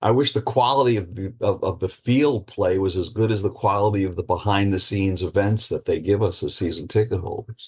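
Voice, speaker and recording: A somewhat breathy man's voice, fairly low in pitch with ordinary pitch variation, at a fairly quick pace over a quiet background. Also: hardly any pauses. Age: 60s. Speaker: retired judge and author. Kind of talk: casual chat.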